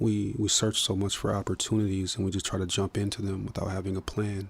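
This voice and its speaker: A somewhat breathy man with an American accent, a moderate pace and monotone, flat intonation. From Minnesota, US. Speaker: musician and filmmaker. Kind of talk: podcast interview. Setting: studio. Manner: hesitant, many fillers.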